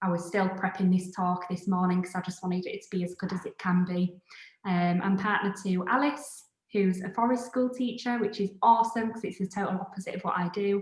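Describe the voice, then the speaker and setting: Speaking at a fairly quick pace, a woman with a Yorkshire accent keeps her intonation fairly even. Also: medium pitch for a woman. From northern England, Scarborough, Yorkshire. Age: 30s. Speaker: designer and creative studio founder. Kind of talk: live online talk.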